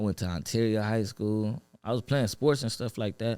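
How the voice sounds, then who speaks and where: The voice has a dark, mellow tone and an American accent. The recording is very clean, with a silent background. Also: man. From Los Angeles (Watts) and Inland Empire, California. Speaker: rap artist. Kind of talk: podcast interview. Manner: casual, filler-heavy.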